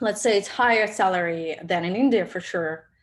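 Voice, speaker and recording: A woman speaks with a Russian accent at medium pitch. Her pitch swings very widely. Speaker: product manager. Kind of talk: webinar talk with Q&A. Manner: halting, many fillers.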